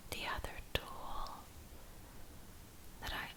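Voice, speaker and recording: Whispering over noticeable background noise. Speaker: ASMR creator, meditation guide. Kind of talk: guided relaxation meditation for sleep. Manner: whispered; slow, calm, soothing.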